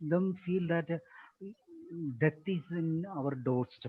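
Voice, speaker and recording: A man with a Keralan accent. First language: Malayalam. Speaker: teacher trainer / resource person. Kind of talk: webinar Q&A answer.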